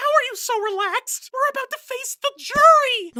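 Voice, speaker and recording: An extremely high, squeaky cartoonish character voice at a moderate pace. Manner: nervous, stammering.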